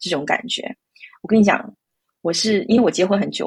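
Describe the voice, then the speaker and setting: A woman speaks at a very fast pace and a medium pitch. Her voice is somewhat breathy. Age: 30s. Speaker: IT professional and mother. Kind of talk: interview. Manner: halting.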